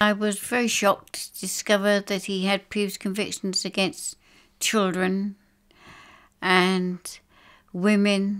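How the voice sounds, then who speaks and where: In an English accent, a woman speaks very slowly with monotone, flat intonation and long, frequent pauses. The recording is very clean, with a silent background. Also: medium pitch for a woman. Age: 70s. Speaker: bereaved mother. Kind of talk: testimony. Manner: halting.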